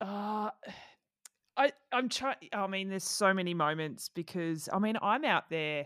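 A woman with an Australian accent and lively intonation, dry and close with no echo. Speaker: triathlon journalist, podcast co-host. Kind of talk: casual chat.

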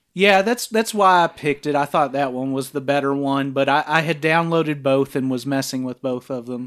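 With an ordinary speaking voice, a man talks at a fairly quick pace with hardly any pauses, fairly high pitch and ordinary pitch variation, on a very clean recording with a silent background. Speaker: podcast host. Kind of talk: casual chat, film review podcast.

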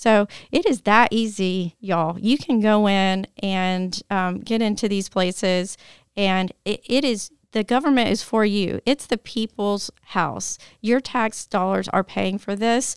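A woman's medium-pitched voice with a Tennessee accent and ordinary pitch variation, dry and close with no echo, on a very clean recording with a silent background. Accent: US Southern (Tennessee). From Tennessee, Nashville. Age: 40s. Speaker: parent activist for gun safety. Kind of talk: interview conversation.

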